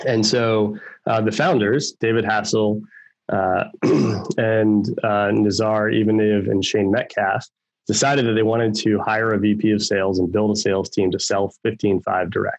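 A man's fairly low, monotone voice with flat intonation, a fairly slow pace, and very even loudness. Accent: American. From Baltimore, Maryland, US. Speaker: tech sales executive. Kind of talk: interview.

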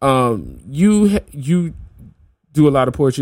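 A man with a medium-pitched voice, an American accent and very wide pitch swings. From New Orleans, US South. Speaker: podcast host and hip hop artist. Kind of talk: casual interview chat. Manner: casual, filler-heavy, friendly.

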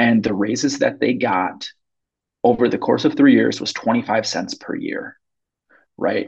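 A man with an American accent talks at a fairly slow pace. Long, frequent pauses break up his speech. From US Midwest, Minneapolis. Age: 30s. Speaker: grocery worker, union member. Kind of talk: interview. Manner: halting, many fillers.

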